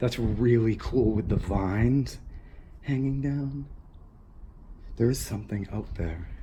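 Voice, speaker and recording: In a room with audible echo, a man with a medium pitch talks at a fairly slow pace, using ordinary pitch variation and long, frequent pauses. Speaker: urban explorer vlogger. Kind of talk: exploration vlog commentary. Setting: outdoors and abandoned building. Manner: drowsy, drunk-sounding.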